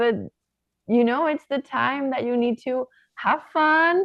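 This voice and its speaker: Her voice high in pitch with ordinary pitch variation, a woman with a Spanish accent speaks at a fairly slow pace. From southern Spain. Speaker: professional volleyball player. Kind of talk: podcast interview.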